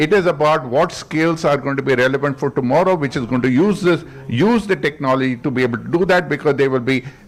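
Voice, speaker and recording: A man's fairly high pitch with ordinary pitch variation, over noticeable background noise. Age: 60s. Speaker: IT industry leader, panelist. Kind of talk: panel discussion.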